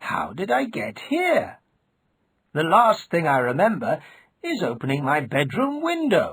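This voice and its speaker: A man puts on a character voice with a high pitch. He moves at a fairly slow pace while his pitch swings very widely. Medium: read story. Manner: earnest, bewildered.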